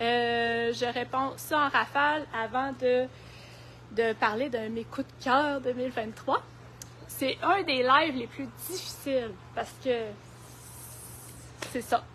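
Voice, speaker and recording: A woman with a Quebec accent speaks at a very slow pace, leaving long, frequent pauses. Her pitch is high, with ordinary variation. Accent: Québécois French. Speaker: garden centre horticulturist. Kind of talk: live stream product presentation and gardening tips. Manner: hesitant, many fillers.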